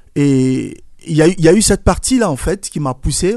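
With a dark, mellow tone, a man speaks at a fairly high pitch using lively intonation. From Ivory Coast. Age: 40s. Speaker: event organizer, former singer. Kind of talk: radio interview.

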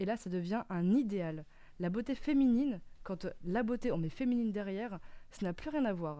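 A woman of medium pitch talks at a moderate pace, her tone dark and mellow and her intonation lively. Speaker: radio panelist. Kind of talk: casual radio chat. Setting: studio.

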